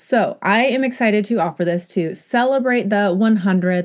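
Calm in tone, a woman speaks with a fairly high pitch and lively intonation. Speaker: podcast host and business coach. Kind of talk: casual interview chat.

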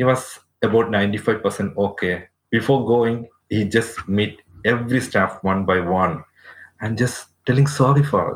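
Somewhat breathy and medium in pitch, a man talks at a fairly slow pace with ordinary pitch variation. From Kerala, India. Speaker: nurse. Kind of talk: interview, personal testimony.

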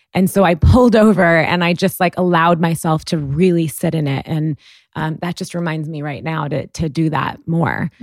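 At a moderate pace, a woman speaks in a plain, everyday voice with ordinary pitch variation. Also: fairly low pitch for a woman. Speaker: podcast host. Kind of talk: interview conversation.

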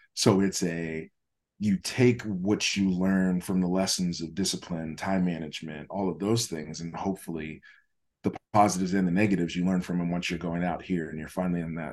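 Over a quiet background, a man with an American accent speaks fairly quickly in a very deep, low voice with fairly even intonation. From Pittsburgh, then Raleigh, North Carolina. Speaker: basketball coach. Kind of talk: interview. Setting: video call.

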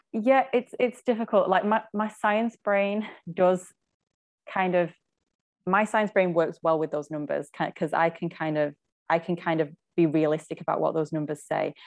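A woman talks at a moderate pace with a fairly low pitch and ordinary pitch variation. It is an ordinary speaking voice over a quiet background. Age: 30s. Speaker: nutritionist. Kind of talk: casual chat.

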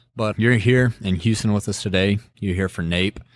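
Someone with a Texan accent talks at a moderate pace on a very clean recording with a silent background. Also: man. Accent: Texas Southern. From West Texas (Midland). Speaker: podcast host. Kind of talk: casual interview.

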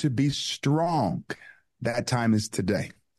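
Passionate in tone, a man speaks at a medium pitch with lively intonation and vocal fry. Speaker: guest activist speaking at school boards. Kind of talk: interview, preacher-like exhortation. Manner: passionate, emphatic, rhetorical repetition.

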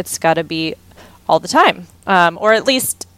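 With an American accent, a woman speaks in a normal speaking voice at medium pitch and a moderate pace, with ordinary pitch variation, on a very clean recording with a silent background. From Texas, Houston. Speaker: cookbook author and food business founder. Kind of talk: casual interview.

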